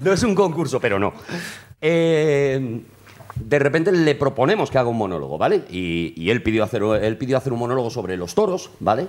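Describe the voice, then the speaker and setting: Delivery proceeds at a moderate pace. Its pitch rises and falls very widely. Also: man, medium pitch for a man. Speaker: comedy writer and producer. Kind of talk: interview on comedy history. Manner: loud.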